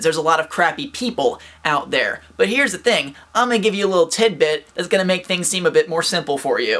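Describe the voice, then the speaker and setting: Amid noticeable background noise, a man with a high pitch speaks in an upbeat tone. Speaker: vlogger. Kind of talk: casual talk to camera, motivational advice. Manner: upbeat, fast.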